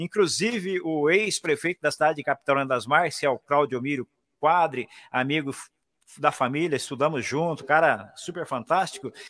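Against a quiet background, a man talks at a moderate pace with fairly high pitch and ordinary pitch variation. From Paraná, Brazil (Maringá); Paraná, Brazil. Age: 60s. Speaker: radio announcer. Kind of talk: casual interview. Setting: video call. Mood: warm, nostalgic storytelling. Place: booth. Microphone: studio mic.

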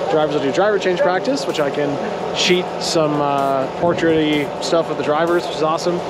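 A man speaks over loud background noise. The sound is dry, with no echo. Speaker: motorsport photographer vlogger. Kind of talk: casual vlog chat. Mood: excited, upbeat. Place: street. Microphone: phone near.

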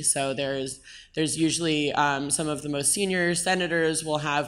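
This woman speaks at a moderate pace in a very deep, low voice, and her intonation is flat and monotone. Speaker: blockchain advocacy group co-founder. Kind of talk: conference panel talk. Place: stage. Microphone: handheld.

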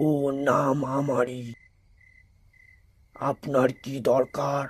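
At a fairly slow pace, a put-on character voice speaks in a low-to-middle pitch with monotone, flat intonation. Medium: read story. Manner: curt, sinister.

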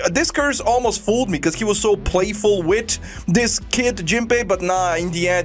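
Faint music plays in the background as a man speaks. His pace is moderate and his pitch variation is ordinary. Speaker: anime reaction youtuber. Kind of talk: casual reaction commentary. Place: home room. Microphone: studio mic.

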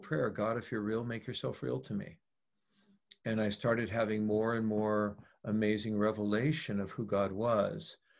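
In an American accent, a man speaks at a moderate pace against a quiet background. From US West Coast, San Francisco; California. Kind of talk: casual interview conversation. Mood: earnest, reflective. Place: home room. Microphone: video call.

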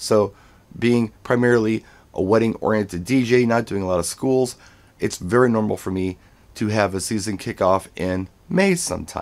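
Here a man talks at a moderate pace in a normal speaking voice. His fairly low pitch shows ordinary variation. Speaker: wedding DJ. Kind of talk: casual vlog chat. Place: home room.

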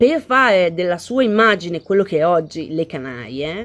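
A woman's voice at a fairly slow pace with very wide pitch swings. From Italy. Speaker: vlogger. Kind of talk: casual reaction video chat. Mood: indignant, argumentative. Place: garden. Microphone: phone near.

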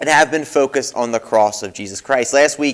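A man speaks fairly quickly, his pitch varying in an ordinary way, with quiet all around. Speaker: pastor. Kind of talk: sermon. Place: church.

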